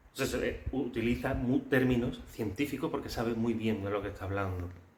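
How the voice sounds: A man speaks at a medium pitch and a moderate pace. Room echo is audible around him.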